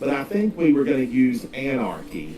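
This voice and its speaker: The pitch swings very widely at a fairly slow pace. Noticeable background noise can be heard. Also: man. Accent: American. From US South, North Carolina (Smoky Mountains). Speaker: video game streamer. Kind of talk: casual live-stream chat while gaming. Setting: live stream.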